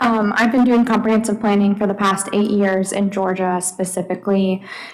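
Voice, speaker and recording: Noticeable background noise sits behind speech delivered at a moderate pace. The intonation is monotone and flat, and the loudness stays very even. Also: woman, medium pitch for a woman. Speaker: urban planning consultant. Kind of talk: presentation. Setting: public meeting.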